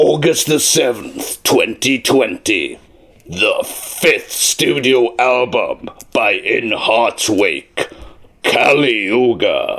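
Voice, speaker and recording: A man speaks in a put-on character voice with a dramatic tone. His delivery is very slow. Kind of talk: promo narration. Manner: epic, dramatic.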